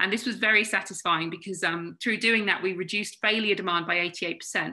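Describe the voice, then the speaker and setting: A woman with a British accent, bright and sharp in tone, at a medium pitch with ordinary pitch variation. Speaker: consultant webinar presenter. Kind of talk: webinar presentation. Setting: online video webinar. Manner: fast.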